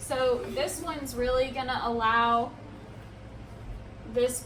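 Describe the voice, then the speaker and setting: Loud and at a very slow pace, a woman speaks in a high pitch amid audible room echo and noticeable background noise. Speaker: plant care YouTuber. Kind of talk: tutorial. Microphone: no microphone, camera audio.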